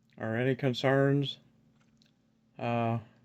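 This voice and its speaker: A man speaks, the sound dry and close with no echo. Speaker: vlogger sharing dental implant experience. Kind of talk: casual video vlog. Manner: halting with many fillers; slightly odd articulation.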